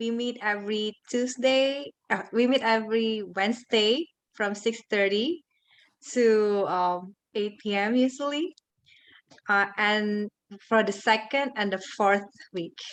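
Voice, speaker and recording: A woman with a non-native accent talks at a very slow pace, fairly high in pitch with ordinary pitch variation. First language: not English. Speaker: club member. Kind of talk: short club presentation. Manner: halting, with fillers.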